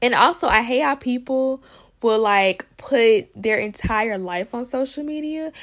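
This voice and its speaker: A woman with a high pitch speaks at a fairly slow pace with lively intonation, recorded very cleanly against a silent background. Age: 20s. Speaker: podcast host. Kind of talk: solo monologue podcast. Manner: casual, conversational.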